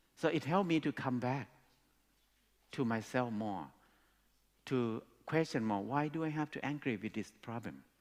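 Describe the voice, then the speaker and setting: Speaking with a Thai accent, a man keeps a medium pitch and lively intonation at a moderate pace, with long, frequent pauses. The recording is very clean, with a silent background. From Thailand. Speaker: speaker. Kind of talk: talk to an audience. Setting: stage with audience.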